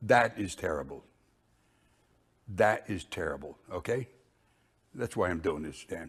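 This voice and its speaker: A man speaks at a fairly low pitch, somewhat breathy, with lively intonation, at a fairly slow pace and with long, frequent pauses. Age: old. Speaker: interviewee, father of a church leader. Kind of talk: interview.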